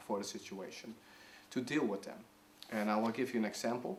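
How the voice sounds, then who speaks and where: A man with a Dutch accent. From Netherlands. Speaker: video blogger sharing mental health experience. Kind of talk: personal tips talk to camera. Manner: halting, many fillers.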